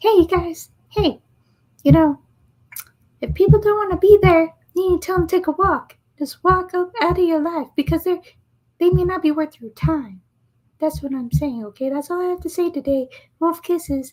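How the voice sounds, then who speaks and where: A woman's put-on character voice at an extremely high pitch, moderate in pace, with long, frequent pauses. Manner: giving blunt advice, telling it like it is.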